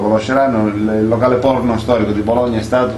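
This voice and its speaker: Amid noticeable background noise and audible room echo, a man speaks fairly quickly at a medium pitch with fairly even intonation. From southern Italy. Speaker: comedian and radio co-host. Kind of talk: comedic casual chat.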